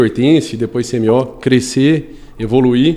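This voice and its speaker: A normal speaking voice from a man, medium-pitched and moderately paced. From Brazil, Goiânia. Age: 30s. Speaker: construction company executive and civil engineer. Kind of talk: podcast interview.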